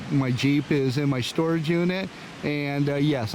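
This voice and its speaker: A man with a fairly high voice speaks in a fairly even intonation, with audible room echo and noticeable background noise. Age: 60s. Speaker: YouTuber, van and Jeep hobbyist. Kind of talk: tutorial. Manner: hesitant, many fillers.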